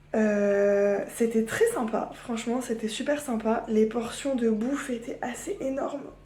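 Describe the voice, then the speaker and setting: A woman with a fairly high pitch, speaking at a very slow pace with hardly any pauses, amid audible room echo and noticeable background noise. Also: fairly even intonation. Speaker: vlogger. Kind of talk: casual vlog. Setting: at home. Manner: chatty, hesitant with fillers.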